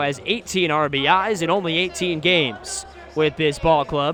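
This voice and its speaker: The voice has ordinary pitch variation, with music in the background. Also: man. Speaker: baseball radio play-by-play announcer. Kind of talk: live baseball radio play-by-play broadcast. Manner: fast, excited, building to a call at the key moment.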